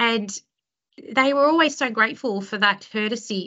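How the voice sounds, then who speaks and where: This woman speaks with an Australian accent. Her pitch varies in an ordinary way. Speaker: criminal lawyer and law firm director. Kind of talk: interview conversation. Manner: chatty, extroverted.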